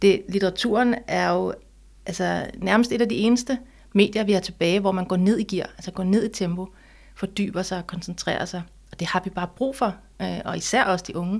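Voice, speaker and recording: On a very clean recording with a silent background, a woman with vocal fry talks at a moderate pace and a medium pitch. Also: fairly even intonation. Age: 40s. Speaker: author. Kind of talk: interview conversation.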